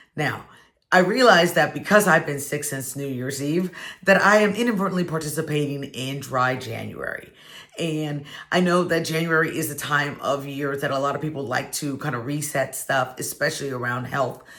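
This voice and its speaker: A woman speaks at a moderate pace in a very deep, low pitch, with ordinary pitch variation. Audible room echo and noticeable background noise run through the recording. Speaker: wine and football video host. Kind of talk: casual vlog talk to camera.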